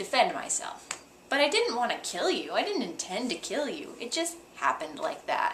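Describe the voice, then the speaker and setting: Over noticeable background noise, a woman speaks at a high pitch. Her pitch swings very widely at a moderate pace. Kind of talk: teaching explanation. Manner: dry.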